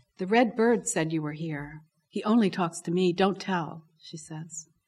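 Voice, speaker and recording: A woman speaks at a fairly slow pace in an American accent, her fairly low, somewhat breathy voice showing ordinary pitch variation. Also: very clean recording, silent background. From Baltimore, Maryland. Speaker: poet. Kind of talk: poetry reading. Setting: library event with audience.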